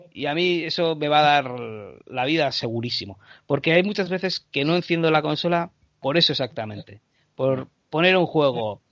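Lively intonation marks a man's ordinary speaking voice, delivered at a moderate pace. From Canary Islands, Spain. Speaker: short filmmaker and podcaster. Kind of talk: casual interview chat.

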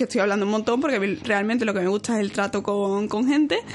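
A woman's fairly high-pitched voice against noticeable background noise. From Seville, Andalusia, Spain. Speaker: chemical engineer and youtuber. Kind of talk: casual interview chat.

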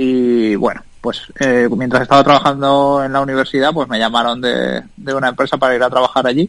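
A man with an ordinary speaking voice, medium pitch and ordinary pitch variation. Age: 30s. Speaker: tech entrepreneur. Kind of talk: interview.

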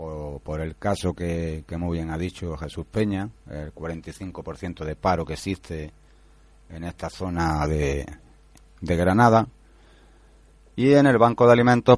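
A man with ordinary pitch variation. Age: 40s. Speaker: unemployed course participant. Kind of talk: radio interview.

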